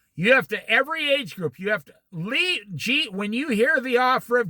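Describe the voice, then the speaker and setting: A man speaks fairly slowly in a raised, projected voice with a bright, sharp tone and very wide pitch swings. The recording is very clean, with a silent background. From US Midwest, Iowa. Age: 60s. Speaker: Bible teacher. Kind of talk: Bible study. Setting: outdoors by a lake.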